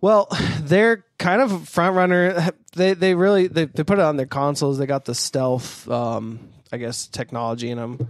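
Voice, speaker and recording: A man's unremarkable speaking voice, with lively intonation and a moderate pace, in a dry, close sound with no echo. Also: fairly high pitch for a man. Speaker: podcast host. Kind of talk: casual chat. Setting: studio, across a table.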